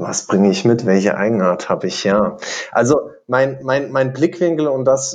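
A moderate pace from a man in a normal speaking voice. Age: 20s. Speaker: insurance digital expert and lecturer, podcast co-host. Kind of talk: casual chat.

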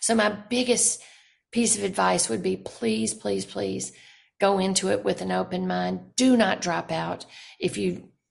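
A woman speaks in a Southern US accent. Her pace is moderate. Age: 60s. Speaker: novelist. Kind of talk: interview.

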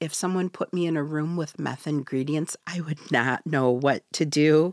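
A woman's very deep, low voice with an American accent, fairly slow with hardly any pauses and ordinary pitch variation, in a dry, close, echo-free, very clean recording against a silent background. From Michigan's Upper Peninsula, Ojibwe community. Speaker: author. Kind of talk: interview. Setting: studio.

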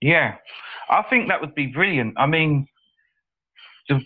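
This man has a fairly high pitch with ordinary pitch variation. He has a plain, everyday voice. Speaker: mining hardware seller. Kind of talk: casual chat.

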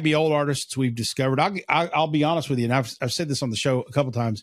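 A man with an American accent has a fairly high pitch and fairly even intonation. The background is quiet. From eastern Kentucky. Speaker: podcast co-host. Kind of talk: casual chat.

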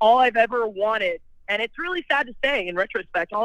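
In a normal speaking voice, a woman talks with lively intonation and a fairly high pitch. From California. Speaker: person in addiction recovery. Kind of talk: personal testimony.

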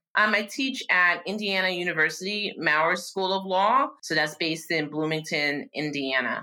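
In a New York accent, a woman talks at a moderate pace with hardly any pauses. Her pitch is fairly low, and her intonation is lively. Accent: New York American. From New York, Yonkers. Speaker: law professor. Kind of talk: interview conversation.

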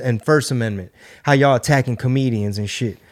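A medium-pitched man with an American accent and ordinary pitch variation, on a very clean recording with a silent background. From Houston, Texas. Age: 40s. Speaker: comedian and podcast host. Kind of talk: casual chat. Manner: animated.

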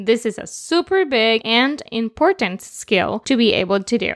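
A woman's fairly high voice with a Spanish accent at a moderate pace, on a very clean recording with a silent background. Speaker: children's podcast host. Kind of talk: children's educational show.

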